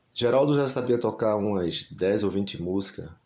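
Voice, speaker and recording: A man talks at a fairly low pitch with ordinary pitch variation. He has an unremarkable speaking voice. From Brazil, Recife (Pernambuco). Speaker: singer-songwriter and music teacher. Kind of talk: interview conversation.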